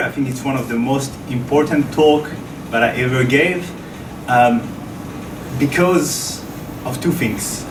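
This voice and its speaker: A man with a French accent at a medium pitch and fairly slow pace, audible room echo and noticeable background noise around him. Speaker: researcher. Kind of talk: lecture. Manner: halting.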